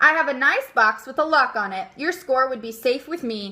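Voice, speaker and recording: A woman's put-on character voice, high in pitch, at a moderate pace, with big swings in loudness. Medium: read story. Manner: cheerful, earnest, naive.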